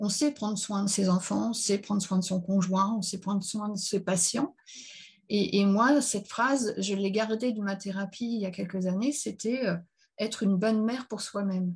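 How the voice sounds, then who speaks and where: Somewhat breathy, a woman speaks at medium pitch and a moderate pace against a quiet background. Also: fairly even intonation. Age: 50s. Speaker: psychiatric nurse. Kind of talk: testimony.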